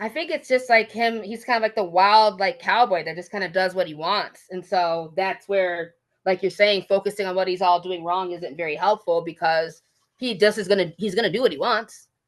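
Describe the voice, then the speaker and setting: Speaking at a moderate pace with an American accent, a woman has an unremarkable speaking voice at medium pitch with ordinary pitch variation. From Michigan. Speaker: teacher. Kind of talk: casual chat.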